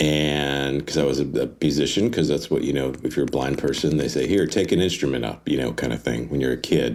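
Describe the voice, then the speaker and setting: Speaking fairly quickly with hardly any pauses, a man with an American accent has a very deep, low pitch, vocal fry and ordinary pitch variation. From US South, Atlanta. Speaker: nonprofit communications executive. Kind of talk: interview. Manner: halting, many fillers.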